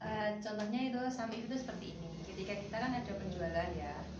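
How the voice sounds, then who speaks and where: Speaking at a fairly quick pace, a woman is heard with audible room echo and loud background noise. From Central Java, Indonesia. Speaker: computer course student. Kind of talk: oral exam interview. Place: home room. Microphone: camera far.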